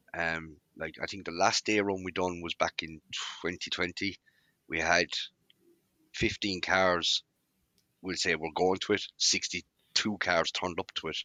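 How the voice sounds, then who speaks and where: A man with a rural Irish accent and a very deep, low pitch, speaking at a fairly slow pace with monotone, flat intonation and long, frequent pauses. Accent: Irish country. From rural Ireland. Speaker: car club founder. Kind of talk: casual interview chat.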